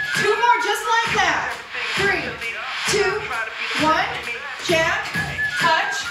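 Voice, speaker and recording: Loud music plays in the background as a woman speaks at a very slow pace with ordinary pitch variation and audible room echo. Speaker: fitness instructor. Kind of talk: workout class cueing. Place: empty room.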